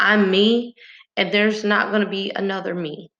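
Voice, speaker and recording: A woman's bright, sharp tone in an American accent. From rural Texas, small town. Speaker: motivational speaker. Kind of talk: motivational monologue. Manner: animated.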